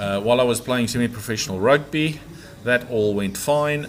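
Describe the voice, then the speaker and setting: A man talks with ordinary pitch variation while noticeable background noise is audible. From South Africa. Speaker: property developer. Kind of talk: podcast interview, life story. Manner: hesitant, many fillers.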